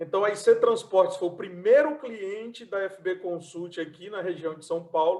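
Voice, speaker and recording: This man's pitch is high. He talks at a fairly slow pace. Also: big swings in loudness. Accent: northeastern Brazilian. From Brazilian Northeast, Fortaleza. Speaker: transport consultant and event host. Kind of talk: online event presentation. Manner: halting.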